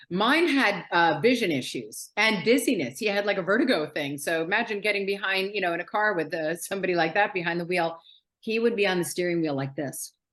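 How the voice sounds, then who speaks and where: A woman with an American accent and a plain, everyday voice speaks at medium pitch and a fairly quick pace, with lively intonation and hardly any pauses. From New York City. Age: 60s. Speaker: author. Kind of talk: interview.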